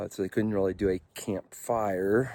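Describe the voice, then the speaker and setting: In a very clean recording with a silent background and a dry, close sound with no echo, a man talks at a fairly slow pace with a fairly low pitch and fairly even intonation. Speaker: motorcycle vlogger. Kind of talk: vlog monologue. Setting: outdoors. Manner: loud; halting.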